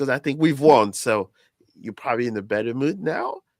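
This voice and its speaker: A man with a French accent speaks at a medium pitch with ordinary pitch variation. The sound is dry and close with no echo, in a very clean recording with a silent background. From France. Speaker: soccer podcast host. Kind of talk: casual chat.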